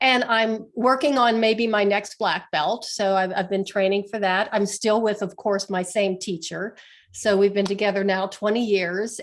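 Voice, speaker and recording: A plain, everyday voice from a woman, medium in pitch, its intonation fairly even. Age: 60s. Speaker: healer, author and martial artist. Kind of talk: interview.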